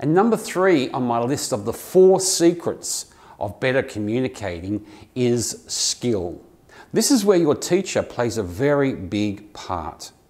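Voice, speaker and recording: A man with an Australian accent talks at a fairly slow pace, his medium-pitched voice making very wide pitch swings. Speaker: English teacher. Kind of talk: tutorial. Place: office. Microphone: lapel.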